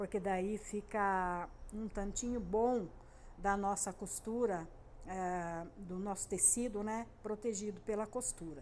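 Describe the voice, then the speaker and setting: Delivery is very slow. Intonation stays fairly even. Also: woman, medium pitch for a woman. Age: 60s. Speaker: sewing and crafts YouTuber. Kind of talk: casual tutorial monologue. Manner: hesitant, many fillers.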